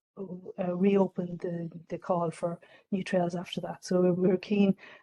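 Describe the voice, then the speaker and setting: Dry and close with no echo, the recording has a woman with an Irish accent speaking at medium pitch in a dark, mellow tone and a monotone, flat intonation. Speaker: government official presenting a scheme. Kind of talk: information session presentation. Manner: fast; halting, many fillers.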